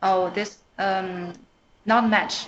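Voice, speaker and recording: A woman speaks with a Chinese accent. Her intonation stays fairly even. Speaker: email developer. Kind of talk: internal technical presentation. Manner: halting.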